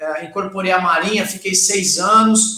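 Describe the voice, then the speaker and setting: In a raised, projected voice, a man speaks at a moderate pace. His pitch is high. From Brazil, Santos area (São Paulo coast). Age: 40s. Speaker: taekwondo master. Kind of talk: casual chat.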